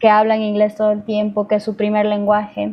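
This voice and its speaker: A woman's voice at a fairly high pitch. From Ecuador. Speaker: singer-songwriter. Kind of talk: interview.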